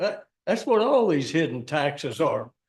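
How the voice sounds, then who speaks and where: A man speaks with a Virginia accent. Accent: Virginia Southern. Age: 80s+. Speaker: public commenter, retired restaurant owner. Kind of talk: public comment at county meeting. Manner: plainspoken, emphatic.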